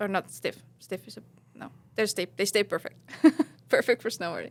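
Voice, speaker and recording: This is a woman speaking. She has an Estonian accent. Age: 30s. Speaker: professional snowboarder. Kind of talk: casual podcast interview. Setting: studio. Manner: hesitant, many fillers.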